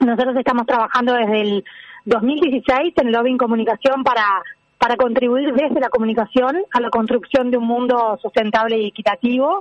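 A woman speaks at a high pitch with ordinary pitch variation. The sound is dry and close with no echo. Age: 40s. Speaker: sustainability agency director. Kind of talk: interview.

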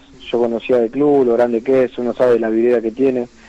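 Over noticeable background noise, a man speaks at a fairly quick pace and medium pitch with monotone, flat intonation. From Argentina, Santa Isabel (Santa Fe). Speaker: professional footballer. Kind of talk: phone interview. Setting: phone call.

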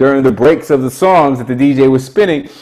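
This man's voice sits at a fairly high pitch with ordinary pitch variation. Background noise is noticeable. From Brooklyn, New York. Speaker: prison activist and hip hop theatre artist. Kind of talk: casual interview chat.

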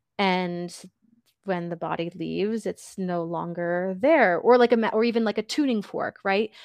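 A woman speaks at medium pitch and a moderate pace with ordinary pitch variation, in an unremarkable speaking voice. The sound is dry and close with no echo, over a quiet background. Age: 30s. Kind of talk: interview.

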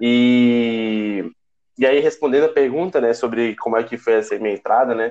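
A man talks in a plain, everyday voice at medium pitch and a moderate pace. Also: fairly even intonation. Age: 20s. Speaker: student council president. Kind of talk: casual chat.

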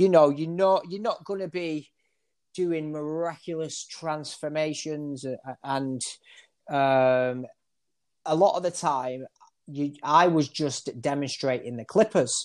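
On a very clean recording with a silent background, a man with a Manchester accent speaks at a very slow pace, his fairly high voice showing ordinary pitch variation. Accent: Mancunian, northern English. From Manchester area, northern England. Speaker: barber. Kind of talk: casual interview.

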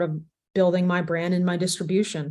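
At a very fast pace, a woman with an American accent speaks in a fairly low, monotone voice with flat intonation. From Texas, Arlington. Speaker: sports business executive. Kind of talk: interview.

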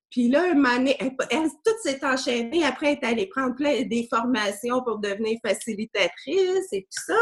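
Lively intonation at a moderate pace. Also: woman. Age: 40s. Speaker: energy healing practitioner. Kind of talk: casual interview chat.

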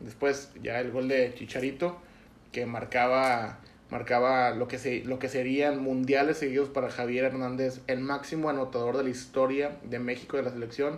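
A man's monotone, flat delivery at medium pitch and a moderate pace. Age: 20s. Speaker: football podcast host. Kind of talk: casual chat.

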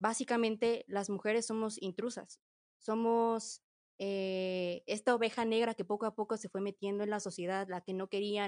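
A woman with a normal speaking voice talks at a fairly slow pace with fairly even intonation and a medium pitch. The sound is dry and close with no echo, against a quiet background. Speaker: political science student, panelist. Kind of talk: casual panel discussion.

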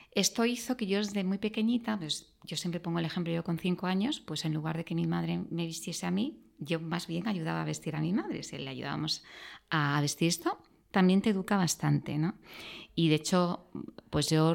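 A woman with an ordinary speaking voice talks at a moderate pace, her fairly low pitch moving with ordinary variation, on a very clean recording with a silent background. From Andalusia, near Granada. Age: 50s. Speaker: executive. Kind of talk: interview.

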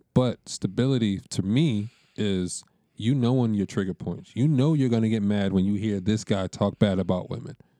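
In a dry, close sound with no echo, a man with a dark, mellow tone speaks at a moderate pace and a fairly low pitch, with ordinary pitch variation. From Dominican heritage. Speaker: friend of host. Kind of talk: casual chat.

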